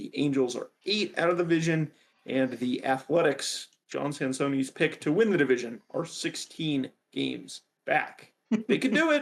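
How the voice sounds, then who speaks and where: Using an unremarkable speaking voice, a man with fairly high pitch talks at a moderate pace with lively intonation. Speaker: sports podcast co-host. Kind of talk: casual sports chat, reading standings.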